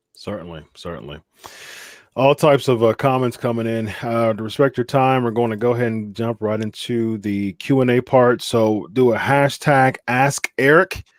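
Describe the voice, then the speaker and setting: An ordinary speaking voice from a man at a medium pitch and a moderate pace, with ordinary pitch variation and a dry, close sound with no echo. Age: under 64. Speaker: podcast host. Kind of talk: live show interview.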